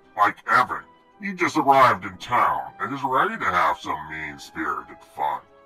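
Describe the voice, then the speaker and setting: A man performs a put-on character voice at a moderate pace with faint music in the background. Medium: machinima. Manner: sardonic, theatrical.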